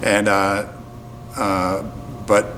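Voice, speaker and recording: A man's fairly low voice, with audible room echo and noticeable background noise. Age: 70s. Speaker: folk musician. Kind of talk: interview. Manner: halting, many fillers.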